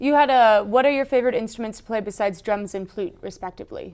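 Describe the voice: A woman talks fast at a fairly high pitch, in a slightly mellow tone with ordinary pitch variation. The recording is very clean, with a silent background.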